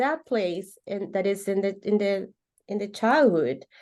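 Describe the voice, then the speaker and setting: A woman with a Spanish accent and a dark, mellow tone, fairly slow and lively in intonation, over a quiet background. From Venezuela. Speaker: holistic coach. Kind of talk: interview conversation. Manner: halting, repeats words.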